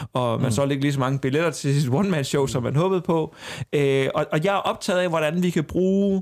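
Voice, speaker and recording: A man speaks with a fairly high pitch and ordinary pitch variation. It is a normal speaking voice. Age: 30s. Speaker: comedian. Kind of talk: casual chat.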